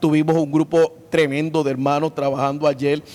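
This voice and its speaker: A man speaks at a moderate pace with a fairly high pitch. The sound is dry and close with no echo, though background noise is noticeable. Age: 60s. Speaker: pastor. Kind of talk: interview. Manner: halting, many filler sounds.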